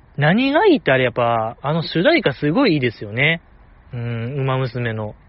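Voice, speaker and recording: A man speaks at a moderate pace in a Kansai accent. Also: medium pitch for a man, ordinary pitch variation. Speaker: podcast host. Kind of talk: casual solo talk. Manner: soft-spoken.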